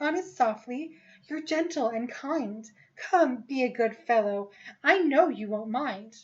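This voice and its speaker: This put-on character voice moves along at a fairly slow pace. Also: woman, high pitch for a woman. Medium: read story. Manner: wheedling, breezy.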